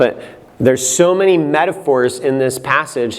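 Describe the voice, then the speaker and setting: A fairly slow delivery with ordinary pitch variation, audible room echo and noticeable background noise. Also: man. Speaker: Bible teacher, conference speaker. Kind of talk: lecture. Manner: animated.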